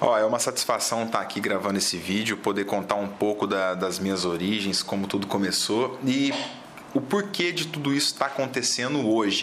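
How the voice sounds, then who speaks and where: In a southern Minas Gerais accent, a man speaks at a moderate pace with a fairly low pitch and ordinary pitch variation. Audible room echo and noticeable background noise fill the recording. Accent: southern Minas Gerais accent, caipira-like r. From southern Minas Gerais, Brazil (Poços de Caldas). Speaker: biologist, fauna consultant. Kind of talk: interview.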